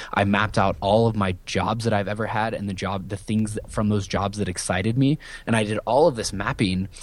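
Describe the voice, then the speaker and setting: Talking at a fairly quick pace, a man with an American accent uses a plain, everyday voice, fairly low in pitch with fairly even intonation. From US Midwest, rural Iowa. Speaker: entrepreneur, business coach. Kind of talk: interview.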